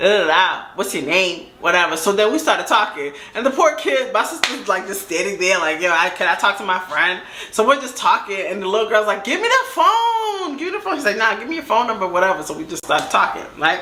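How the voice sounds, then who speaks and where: A woman with an American accent talks at a fairly quick pace with hardly any pauses and very wide pitch swings, amid noticeable background noise and audible room echo. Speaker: storytime YouTuber. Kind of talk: casual storytelling. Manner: animated.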